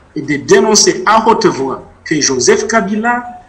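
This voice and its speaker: This man speaks at a high pitch with lively intonation. Noticeable background noise sits behind him. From DR Congo, South Kivu (Bukavu area). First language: Mashi (speaking French). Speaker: author and witness. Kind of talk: interview testimony.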